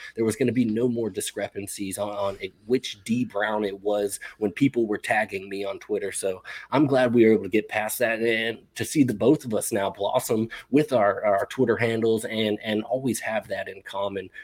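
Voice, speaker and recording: With hardly any pauses, a man with a plain, everyday voice talks at a moderate pace in a medium pitch and fairly even intonation. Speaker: fantasy football podcast host.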